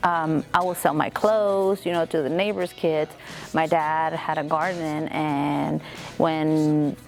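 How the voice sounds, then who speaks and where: Music plays behind a woman speaking very slowly in a Spanish accent. Her pitch is very deep and low, with fairly even intonation. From Mexico, moved to Arizona as a child. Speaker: beauty salon owner. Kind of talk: interview. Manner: casual, filler-heavy.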